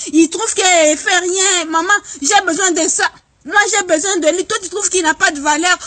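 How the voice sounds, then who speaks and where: A woman speaks at an extremely high pitch with ordinary pitch variation and a moderate pace, amid noticeable background noise. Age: 20s. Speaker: vlogger. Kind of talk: comic monologue. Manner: animated.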